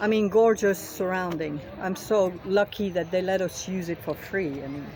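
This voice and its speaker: A woman speaks at medium pitch with a French accent and ordinary pitch variation. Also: moderate pace. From France. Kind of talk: rally speech. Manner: halting, many fillers.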